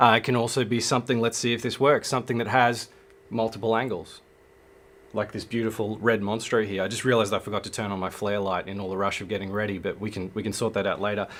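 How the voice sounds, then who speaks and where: Speaking at a very fast pace, a man talks in an Australian accent. His pitch is fairly low and his intonation fairly even. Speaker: filmmaker and livestream host. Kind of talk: live stream talk.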